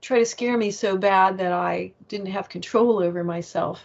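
The speech comes at a fairly slow pace with ordinary pitch variation. The accent is American. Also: woman. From US, Virginia. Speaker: author and paranormal experiencer; interview guest. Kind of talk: interview. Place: home room. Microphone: earbuds.

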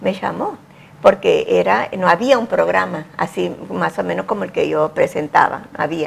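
At a moderate pace, a woman talks. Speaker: TV presenter. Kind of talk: interview answer. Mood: warm, grateful reminiscing. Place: studio. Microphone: lapel.

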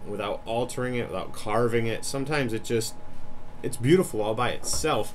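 Light background noise sits behind a man speaking at a moderate pace with ordinary pitch variation. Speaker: woodworking channel host. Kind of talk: casual vlog chat. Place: workshop. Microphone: phone near.

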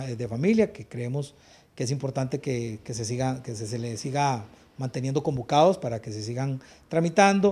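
With a Costa Rican accent, a man talks at a moderate pace using lively intonation. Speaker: legislator. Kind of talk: interview soundbite. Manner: halting. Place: office.

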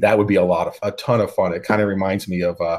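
A man talks at a fast pace with a low pitch, a slightly mellow tone and fairly even intonation.

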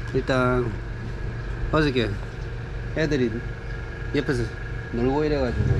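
With noticeable noise behind him, a man speaks fairly slowly. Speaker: travel vlogger. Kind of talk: casual vlog chat. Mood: relaxed, musing. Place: home room. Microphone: phone near.

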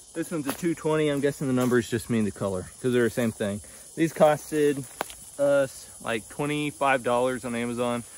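Amid noticeable background noise, a man with a medium-pitched voice talks at a moderate pace with ordinary pitch variation. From United States. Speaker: outdoor gear reviewer. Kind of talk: casual product review. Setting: outdoors. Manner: casual, conversational.

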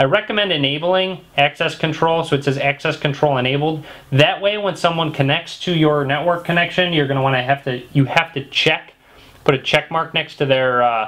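A man talks at a fairly quick pace. His pitch variation is ordinary. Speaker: tech tutorial maker. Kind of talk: tutorial. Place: home room.

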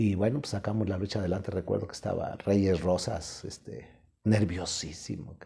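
Over a quiet background, a man with a fairly low, dark and mellow voice speaks at a moderate pace, somewhat breathy, with ordinary pitch variation and big swings in loudness. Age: 60s. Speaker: professional wrestler; interviewee. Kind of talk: interview, casual storytelling. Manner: animated, colloquial. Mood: relaxed, colourful anecdote telling. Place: home room. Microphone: lapel.

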